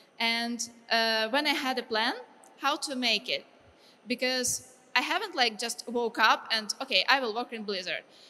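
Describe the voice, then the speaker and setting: A woman with a Ukrainian accent speaks at a moderate pace in a bright, sharp tone. Her voice is high-pitched, with ordinary variation. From Ukraine. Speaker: game artist. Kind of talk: lecture. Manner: halting.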